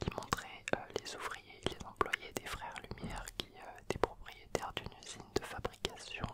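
A man whispers at a fairly slow pace. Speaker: video host. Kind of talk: educational storytelling about cinema history. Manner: soft close-mic ASMR murmur. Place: home room. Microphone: handheld.

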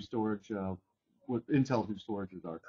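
A man speaks in a plain, everyday voice. His pitch varies in an ordinary way. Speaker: webinar host. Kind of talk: technical webinar presentation. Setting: video call.

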